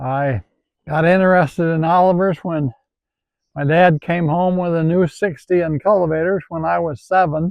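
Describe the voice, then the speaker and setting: This man has a high voice and an Upper Midwest accent. He talks at a moderate pace with fairly even intonation. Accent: Upper Midwest rural. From Wisconsin, rural southwest. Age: 80s. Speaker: retired farmer and tractor collector. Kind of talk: casual interview reminiscence. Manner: halting.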